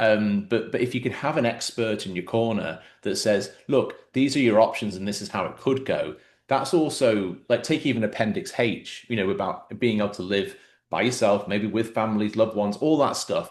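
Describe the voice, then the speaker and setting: This man has an English accent. His pitch sits in the medium range. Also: ordinary pitch variation, moderate pace. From England. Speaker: podcast host. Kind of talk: interview conversation.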